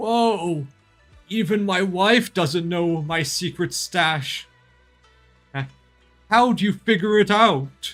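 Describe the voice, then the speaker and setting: Against faint background music, a man puts on a character voice at a high pitch, speaking very slowly with long, frequent pauses. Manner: friendly, chatty.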